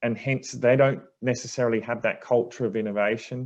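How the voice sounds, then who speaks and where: With a quiet background, a speaker with an Australian accent talks at a moderate pace and ordinary pitch variation. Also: man. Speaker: energy industry director. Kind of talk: panel Q&A answer.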